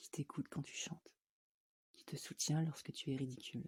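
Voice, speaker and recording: A woman speaks at a moderate pace in a very deep, low pitch, her voice somewhat breathy with a dark, mellow tone. The sound is dry and close, with no echo. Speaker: voice actor. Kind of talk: poetry reading.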